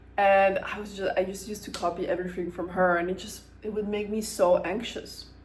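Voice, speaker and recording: Speaking in an American accent at a medium pitch, a woman talks in a monotone with flat intonation and hardly any pauses. Noticeable background noise runs underneath. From Ukraine, Kyiv. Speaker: vlogger. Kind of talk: casual monologue. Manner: casual, with hesitations.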